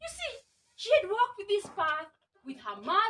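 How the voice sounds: Over a quiet background, intonation stays lively in a natural reading voice.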